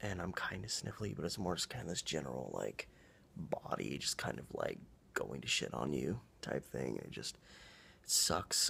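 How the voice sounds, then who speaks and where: A man with an American accent has a very deep, low pitch, vocal fry and a bright, sharp tone. He moves at a moderate pace with very wide pitch swings. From Oregon, USA. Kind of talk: casual vlog talk to camera.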